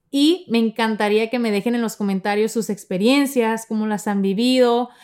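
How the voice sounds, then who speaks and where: Her voice is a plain, everyday voice, as a woman speaks at a moderate pace and fairly high pitch with ordinary pitch variation. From Mexico, Sonora. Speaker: podcast host. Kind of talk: personal storytelling monologue.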